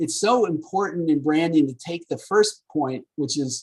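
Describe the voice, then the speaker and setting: With ordinary pitch variation, a man talks in a fairly high pitch, and the sound is dry and close with no echo. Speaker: marketing professor. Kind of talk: lecture. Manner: fast; animated.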